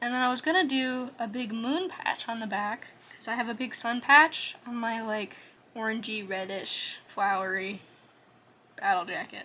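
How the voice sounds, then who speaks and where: Soft-spoken delivery comes at a moderate pace. Pitch varies in an ordinary way. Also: woman, fairly high pitch for a woman. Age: 20s. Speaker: art vlogger. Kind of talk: casual chat. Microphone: quiet audio.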